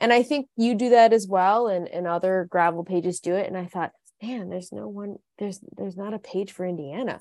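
A woman with a plain, everyday voice and medium pitch talks at a fairly quick pace with ordinary pitch variation. Her loudness swings a lot. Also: dry, close sound with no echo. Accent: American. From Michigan, US Midwest. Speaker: women's cycling team founder. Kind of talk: casual chat.

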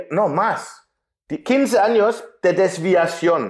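This man talks at a very slow pace, and his pitch varies in an ordinary way. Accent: German. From Germany. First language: German (speaking Spanish). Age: 40s. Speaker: writer and coach. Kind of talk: interview conversation.

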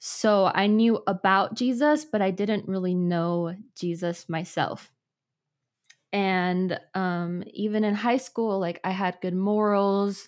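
A woman with an American accent speaks very slowly, her intonation fairly even. The recording is very clean, with a silent background. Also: medium pitch for a woman. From US Midwest, Chicago. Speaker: former social media influencer. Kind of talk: testimony.

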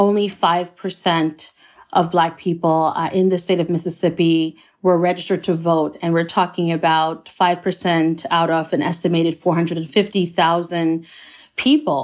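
A woman with a plain, everyday voice, fairly low pitch, and moderate pace, on a very clean recording with a silent background. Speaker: professor, author. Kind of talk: interview.

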